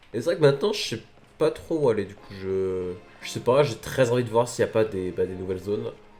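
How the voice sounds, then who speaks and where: Music plays behind a man who speaks at a fairly quick pace with lively intonation and big swings in loudness. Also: medium pitch for a man. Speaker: gaming youtuber. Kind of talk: gameplay commentary. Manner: casual, hesitant with fillers.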